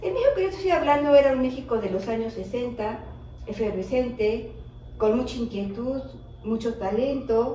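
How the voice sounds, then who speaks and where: A woman talks at a moderate pace with a fairly high pitch and ordinary pitch variation. Noticeable background noise and audible room echo surround her voice. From Mexico City. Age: 60s. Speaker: widow of a filmmaker, interviewee. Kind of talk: interview.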